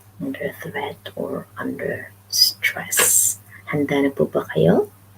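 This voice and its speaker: A woman speaks softly at a very slow pace. Background noise is noticeable. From Philippines, Western Visayas (Ilonggo). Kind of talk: casual live stream talk to camera. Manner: soft-spoken.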